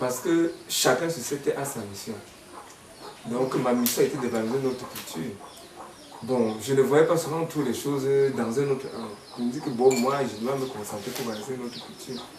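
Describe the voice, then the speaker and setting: A man talking at a fairly quick clip, with long, frequent pauses, ordinary pitch variation, noticeable background noise and audible room echo. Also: medium pitch for a man. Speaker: folk musician. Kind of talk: interview.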